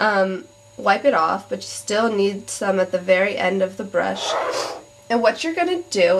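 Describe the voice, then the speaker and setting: Amid noticeable background noise, a woman speaks at a fairly slow pace and medium pitch with lively intonation. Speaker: beauty vlogger. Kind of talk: tutorial. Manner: casual, hesitant with many ums.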